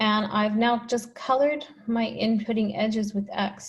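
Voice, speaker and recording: The recording is very clean, with a silent background. A woman speaks in a somewhat breathy voice. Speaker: mathematician. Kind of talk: lecture.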